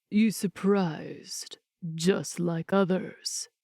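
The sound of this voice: A female-sounding voice in a put-on character voice talks at a very slow pace, pitched at a medium level for a woman.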